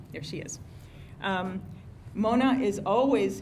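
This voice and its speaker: There is audible room echo. A woman speaks at a fairly high pitch with ordinary pitch variation. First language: not English. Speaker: civic organization president. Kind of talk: meeting announcements. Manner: hesitant, many fillers.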